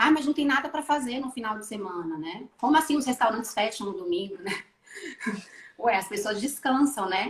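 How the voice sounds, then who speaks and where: A woman's fairly high, unremarkable speaking voice with lively intonation and big swings in loudness. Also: moderate pace. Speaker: maternal coach and emotional educator. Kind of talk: live video interview.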